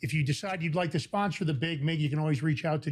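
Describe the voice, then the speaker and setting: Somewhat breathy, a man talks with an American accent and fairly even intonation. The recording is very clean, with a silent background. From New York. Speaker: podcast host. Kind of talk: casual chat.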